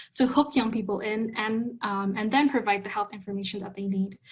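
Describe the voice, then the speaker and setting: A woman with an Indonesian accent speaks in a somewhat breathy, fairly high voice with fairly even intonation. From Indonesia, Jakarta. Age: 20s. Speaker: youth health advocate. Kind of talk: conference talk.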